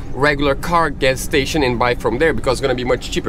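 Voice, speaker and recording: A man at a very fast pace, with clear music in the background and a dry sound with no echo. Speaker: sailing vlogger. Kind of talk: casual vlog chat. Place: boat. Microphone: phone near.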